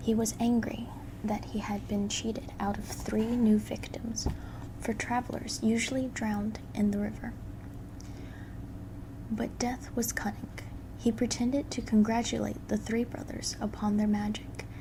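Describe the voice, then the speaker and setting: Soft-spoken delivery at a fairly slow pace is broken up by long, frequent pauses. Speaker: ASMR creator. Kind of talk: bedtime story reading.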